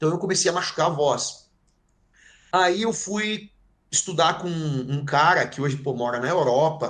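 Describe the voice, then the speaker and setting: Fairly slow speech with long, frequent pauses and ordinary pitch variation. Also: man, fairly high pitch for a man. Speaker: heavy metal band vocalist. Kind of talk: interview. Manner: animated.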